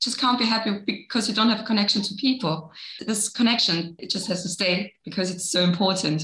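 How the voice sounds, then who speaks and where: A woman talks at a fairly quick pace with a German accent. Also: medium pitch for a woman, ordinary pitch variation. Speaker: radio interviewer. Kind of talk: interview.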